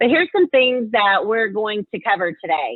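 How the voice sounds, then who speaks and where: With a Southern US accent, a woman speaks at a moderate pace. Her pitch is fairly high and varies in an ordinary way. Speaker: marketing executive, webinar presenter. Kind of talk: webinar presentation. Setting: webinar call.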